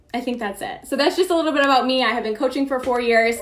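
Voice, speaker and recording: This is a woman with a high-pitched voice. Noticeable background noise runs behind her. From Maine. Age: 20s. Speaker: fitness coach. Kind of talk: training webinar.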